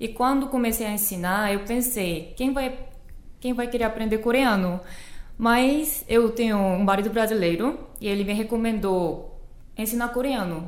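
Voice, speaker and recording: A woman speaks at a fairly high pitch and a moderate pace. Room echo can be heard. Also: ordinary pitch variation. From South Korea. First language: Korean (speaking Portuguese). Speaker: Korean language teacher. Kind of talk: casual chat.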